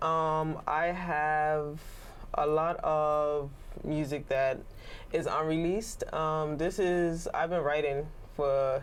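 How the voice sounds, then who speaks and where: A woman's very deep, low voice in a Bermudian accent, very slow, with audible room echo. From Bermuda. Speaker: singer, rapper and songwriter. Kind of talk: interview. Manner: hesitant, many fillers.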